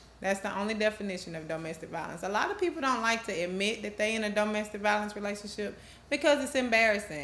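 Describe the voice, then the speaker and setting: Speaking at a very fast pace with lively intonation, a woman with an American accent is heard amid audible room echo and noticeable background noise. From US South, Georgia (Rome). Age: 30s. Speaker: domestic violence advocate, organization founder. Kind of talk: interview testimony.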